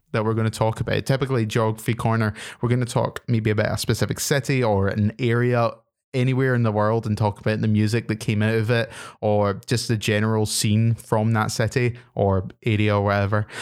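Speech in a Glaswegian accent moves at a fairly quick pace with monotone, flat intonation and very even loudness. The recording is very clean, with a silent background. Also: man, medium pitch for a man. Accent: Glaswegian Scottish. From Scotland, Glasgow. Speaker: podcast host. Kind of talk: casual chat.

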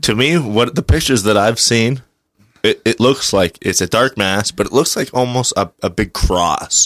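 At a moderate pace and very even loudness, a man speaks in an unremarkable speaking voice at medium pitch with lively intonation, in a dry, close sound with no echo. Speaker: returning guest co-host. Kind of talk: casual chat. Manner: joking, talkative.

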